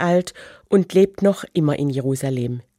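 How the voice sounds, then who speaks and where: On a very clean recording with a silent background and a dry, close sound with no echo, a woman speaks at a fairly slow pace in a dark, mellow tone with lively intonation. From Germany. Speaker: church radio speaker, religion teacher. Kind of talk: scripted radio devotional.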